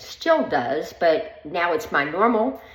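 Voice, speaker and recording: Room echo can be heard. Within it, a woman talks at a moderate pace. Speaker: vlogger. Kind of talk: personal vlog monologue. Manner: hesitant, many filler ums.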